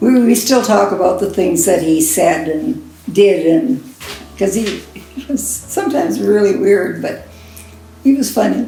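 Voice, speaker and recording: With a Canadian prairie accent, a woman speaks fairly slowly at medium pitch with very wide swings, amid noticeable background noise and audible room echo. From Saskatchewan, Canada. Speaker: interviewee sharing life stories. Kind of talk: oral history interview.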